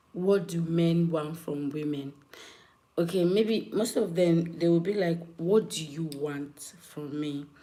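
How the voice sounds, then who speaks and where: A woman with a fairly low pitch speaks very slowly, with audible room echo. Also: ordinary pitch variation. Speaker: live streamer. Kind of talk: live stream chat with viewers. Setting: live stream.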